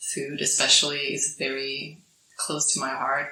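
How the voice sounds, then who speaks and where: A woman with a Swedish accent speaks at a very slow pace. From Sweden. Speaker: podcast guest, digital nomad. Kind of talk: casual interview. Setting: island in Thailand.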